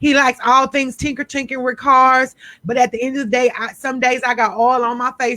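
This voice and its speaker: Loud and bright with a sharp tone, this voice carries an American accent in a dry, close recording with no echo. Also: woman. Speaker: radio host. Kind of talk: radio interview.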